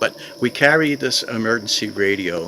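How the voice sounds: With a bright, sharp tone, a man speaks at a fairly slow pace over faint background noise.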